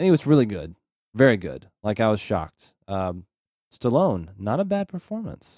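A man talks at a moderate pace in a fairly low, dark and mellow voice with very wide pitch swings. The sound is dry and close, with no echo. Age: 30s. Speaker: movie podcast co-host. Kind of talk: casual chat.

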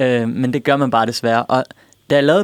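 A man with an unremarkable speaking voice at a fairly quick pace. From Denmark. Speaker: pop musician. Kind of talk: radio interview. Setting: radio studio.

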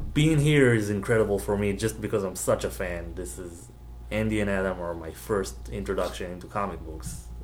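Speaking fairly quickly with an Israeli accent, a man uses a very deep, low voice with vocal fry and very wide pitch swings. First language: Hebrew. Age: 20s. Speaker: comic book art student. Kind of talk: casual interview.

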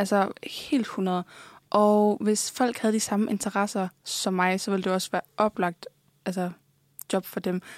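In a very clean recording with a silent background, a woman with a plain, everyday voice speaks at a medium pitch and a fairly slow pace with fairly even intonation. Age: 20s. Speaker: OnlyFans creator. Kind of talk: interview. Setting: studio.

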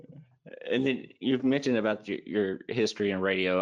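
A man with an American accent in an ordinary speaking voice, fairly quick, with ordinary pitch variation. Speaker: podcast host. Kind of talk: casual interview chat.

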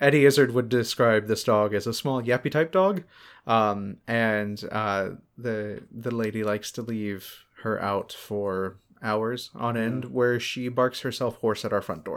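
Heard in a very clean recording with a silent background, a normal speaking voice goes at a fairly slow pace with ordinary pitch variation. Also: man, medium pitch for a man. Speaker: podcast co-host. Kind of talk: casual chat.

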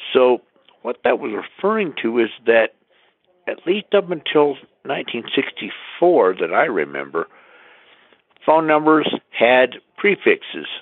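Using long, frequent pauses, a man with an American accent speaks at a fairly slow pace. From US, Colorado. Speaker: podcast listener sending in a comment. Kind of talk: recorded voice message.

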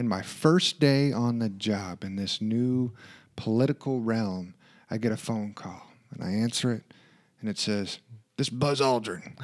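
Over a very clean recording with a silent background, a man speaks fairly slowly in a plain, everyday voice, with medium pitch and ordinary pitch variation. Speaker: podcast co-host and project manager. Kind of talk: casual conversational podcast chat.

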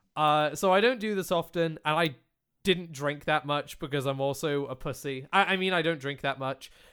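Speaking in a British accent, a man uses a fairly high pitch with ordinary pitch variation. His pace is moderate. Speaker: podcast host and video creator. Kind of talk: casual chat. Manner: animated, profane.

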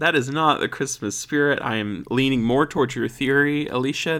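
Here someone reads in an unforced voice.

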